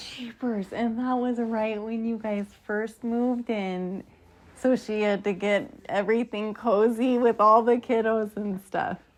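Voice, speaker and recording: With an ordinary speaking voice, a woman of fairly high pitch talks at a fairly slow pace with fairly even intonation. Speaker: grandchild interviewer. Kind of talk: casual interview questions.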